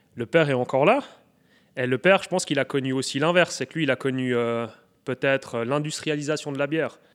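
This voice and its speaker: On a very clean recording with a silent background and a dry, close sound with no echo, a fairly high-pitched man talks at a very fast pace with fairly even intonation and long, frequent pauses. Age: 30s. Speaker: brewer. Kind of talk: interview.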